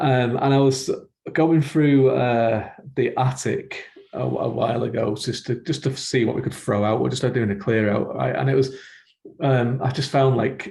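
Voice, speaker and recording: A man's dark, mellow voice with vocal fry sits at a medium pitch, moving at a moderate pace with ordinary pitch variation. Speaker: podcast host and fantasy writer. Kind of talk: podcast interview. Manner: laid back.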